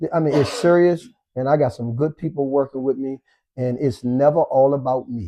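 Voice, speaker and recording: This man has a plain, everyday voice pitched fairly high. He talks at a moderate pace with ordinary pitch variation. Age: 60s. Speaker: fitness trainer. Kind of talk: casual chat.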